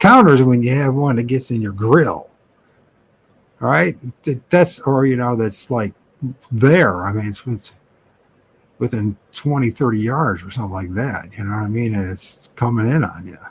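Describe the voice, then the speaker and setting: A man speaks at a moderate pace with long, frequent pauses. His medium-pitched voice is somewhat breathy, with ordinary pitch variation. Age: 50s. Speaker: live stream host. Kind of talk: casual chat. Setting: live stream. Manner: halting.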